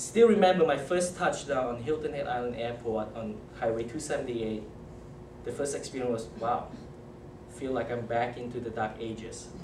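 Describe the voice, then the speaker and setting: A man's medium-pitched voice in a strong Malaysian accent, at a moderate pace with ordinary pitch variation, audible room echo and noticeable background noise. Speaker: toastmasters club speaker. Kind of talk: icebreaker speech.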